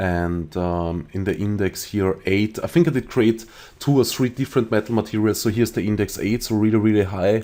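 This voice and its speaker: A man with an Austrian accent talks at a moderate pace, his voice fairly low in pitch with a dark, mellow tone. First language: German. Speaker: 3D rendering tutorial creator. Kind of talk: tutorial. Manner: halting, many fillers.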